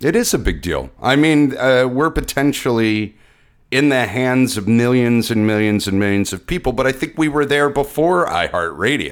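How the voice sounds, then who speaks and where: On a very clean recording with a silent background, a man with a normal speaking voice talks at a medium pitch and moderate pace, with ordinary pitch variation. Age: 40s. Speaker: podcast co-host. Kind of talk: casual chat.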